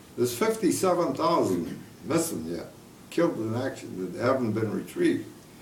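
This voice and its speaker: With audible room echo and noticeable background noise, a man speaks at a fairly high pitch, his voice swinging very widely up and down. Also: moderate pace. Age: 80s+. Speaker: war veteran. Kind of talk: casual chat. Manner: halting.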